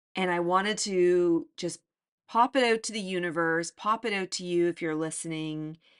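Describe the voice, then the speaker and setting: Against a quiet background, a woman with a fairly low pitch speaks in a warm, animated tone, with ordinary pitch variation and a dry, close sound with no echo. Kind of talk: motivational pep talk, direct address to listeners. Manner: urgent, encouraging, emphatic, repeating phrases like 'get out of your way' and 'be open'; warm, animated, laughing, coaching tone.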